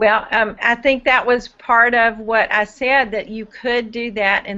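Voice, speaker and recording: A woman speaks at a fairly slow pace in a normal speaking voice. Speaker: diabetes education student presenter. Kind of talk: live Q&A webinar.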